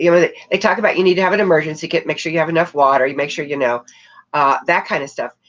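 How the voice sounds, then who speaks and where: Music in the background behind a woman's fairly low voice. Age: 70s. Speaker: crisis management trainer and former disaster inspector. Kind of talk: interview.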